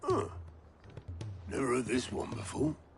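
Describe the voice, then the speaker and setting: A man uses a put-on character voice that is raspy, at medium pitch and a moderate pace. Music plays clearly in the background. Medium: video game. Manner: wry, laconic.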